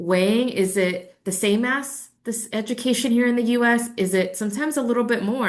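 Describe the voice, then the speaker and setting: Her pace is moderate and her intonation fairly even as the woman speaks. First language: Spanish. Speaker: credential evaluation presenter. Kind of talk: webinar presentation. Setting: online webinar. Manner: casual, conversational.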